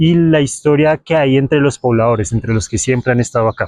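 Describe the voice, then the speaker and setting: A man with an ordinary speaking voice talks at medium pitch and a fairly quick pace, with ordinary pitch variation and a dry, close sound with no echo. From Colombia, Bogotá. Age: 20s. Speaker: travel and local history vlogger. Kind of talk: vlog presentation to camera. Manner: casual, conversational.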